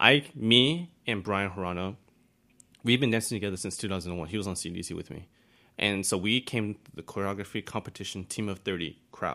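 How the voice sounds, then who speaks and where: This man has a fairly low pitch, a bright, sharp tone and an American accent, and he speaks at a fairly quick pace with ordinary pitch variation. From Taiwan, raised in the US from age eight. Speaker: dancer and photographer. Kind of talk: casual chat.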